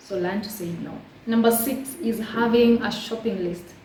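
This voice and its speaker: With noticeable background noise and audible room echo, a woman speaks with ordinary pitch variation. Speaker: lifestyle YouTuber. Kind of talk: casual vlog tutorial. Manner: fast; chatty, warm.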